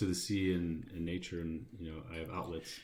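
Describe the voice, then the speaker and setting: Amid audible room echo, a man with an American accent and a dark, mellow tone speaks fairly quickly in a flat monotone. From US Midwest, Chicago suburbs. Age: 40s. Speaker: expat guest. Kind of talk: casual chat. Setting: studio. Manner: halting, many fillers.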